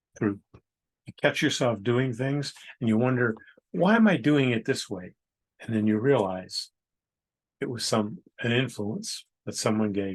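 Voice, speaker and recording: A man with an unremarkable speaking voice talks at a fairly slow pace and medium pitch, with ordinary pitch variation. His loudness swings widely, and the background is quiet. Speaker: poet reading his own haiku. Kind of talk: poetry reading with casual commentary.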